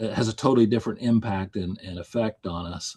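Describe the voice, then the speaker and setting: A man's fairly low voice with an American accent, a fairly quick pace and ordinary pitch variation, in a dry, close sound with no echo and a quiet background. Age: 60s. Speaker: volunteer firefighter and fire service leader. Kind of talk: webinar presentation. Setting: online webinar. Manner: halting, many repeated words.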